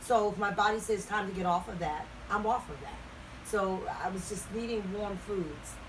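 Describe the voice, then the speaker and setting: The woman's medium-pitched voice moves at a moderate pace, with noticeable background noise and audible room echo. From Baltimore, Maryland. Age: 70s. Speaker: retired singer. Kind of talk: interview. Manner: halting.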